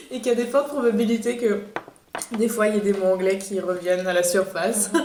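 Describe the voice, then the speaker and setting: A woman at medium pitch talks at a very fast pace with ordinary pitch variation and very even loudness, over noticeable background noise and with audible room echo. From France. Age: 20s. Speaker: podcast host. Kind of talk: casual chat. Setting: outdoors.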